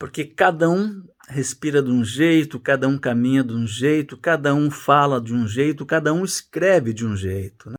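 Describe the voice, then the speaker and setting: An unremarkable speaking voice from a man, fairly high in pitch, with lively intonation, a moderate pace and hardly any pauses, in a very clean recording with a silent background. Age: 60s. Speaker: journalist and writing teacher. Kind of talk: casual course introduction.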